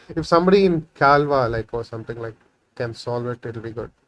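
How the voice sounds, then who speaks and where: Speaking at a fairly quick pace, a man talks with a Tamil accent. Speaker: programming tutorial creator. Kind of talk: coding tutorial. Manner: halting, many fillers; casual, thinking aloud.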